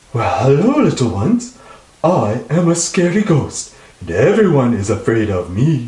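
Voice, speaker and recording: Doing a put-on character voice, a man speaks at a fairly high pitch with very wide swings. There is a slight echo. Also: moderate pace. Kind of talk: comic children's storytelling. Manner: boastful, then flustered.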